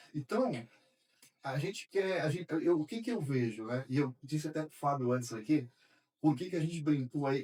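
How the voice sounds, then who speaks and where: Lively intonation runs through a dark, mellow tone at a moderate pace, broken by long, frequent pauses. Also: man, fairly high pitch for a man. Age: 60s. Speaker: accounting firm owner. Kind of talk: podcast conversation.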